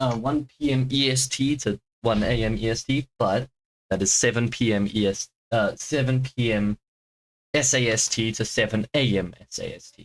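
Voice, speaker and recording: With a British accent, a man speaks in fairly even intonation, recorded in a dry, close sound with no echo. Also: medium pitch for a man, moderate pace. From Britain. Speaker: streamer. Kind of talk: live stream chat. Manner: calmer than usual; halting.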